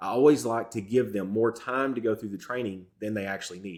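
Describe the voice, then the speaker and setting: This man has a Southern accent. He talks at a moderate pace with ordinary pitch variation. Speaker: real estate business coach. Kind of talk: tutorial.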